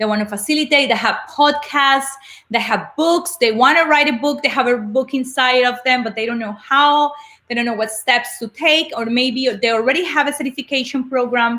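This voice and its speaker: With a Colombian accent, a woman talks at a moderate pace in a high pitch, her bright, sharp tone showing ordinary pitch variation. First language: Spanish. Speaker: motivational speaker and coach. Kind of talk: live webinar talk. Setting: livestream broadcast.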